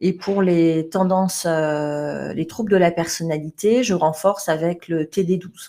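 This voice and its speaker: This woman's pitch is fairly low and her tone dark and mellow. She speaks at a fairly slow pace. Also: fairly even intonation, hardly any pauses. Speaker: management trainer. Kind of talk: webinar presentation. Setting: online webinar.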